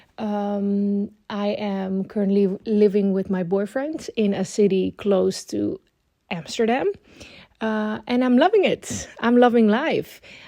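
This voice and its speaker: A dark, mellow tone in a Dutch accent, very slow in pace, with ordinary pitch variation. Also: woman, medium pitch for a woman. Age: 20s. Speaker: planner YouTuber. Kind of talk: casual vlog tutorial.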